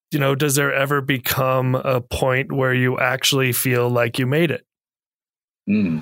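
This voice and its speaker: An unremarkable speaking voice with ordinary pitch variation, at a fairly slow pace. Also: man, medium pitch for a man. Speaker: podcast host. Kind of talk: moderated interview conversation. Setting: video call with remote guests.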